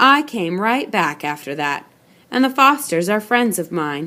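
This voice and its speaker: In a put-on character voice, a woman speaks at medium pitch and a moderate pace, raspy, with very wide pitch swings. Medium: read story. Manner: terse, controlled.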